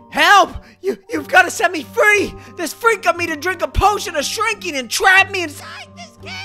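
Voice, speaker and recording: Someone shouts in a cartoonish character voice. Faint music plays in the background. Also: moderate pace. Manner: frantic, indignant shouting.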